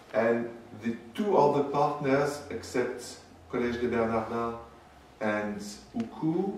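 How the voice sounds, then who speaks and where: A man with a French accent at a very slow pace, long and frequent pauses, ordinary pitch variation, audible room echo and noticeable background noise. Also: medium pitch for a man. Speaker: historian. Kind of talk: lecture. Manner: halting.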